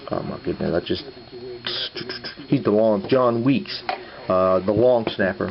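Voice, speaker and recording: Noticeable background noise under a man's moderate-paced speech with ordinary pitch variation. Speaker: sports memorabilia collector, YouTuber. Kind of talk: casual vlog. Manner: halting, many fillers.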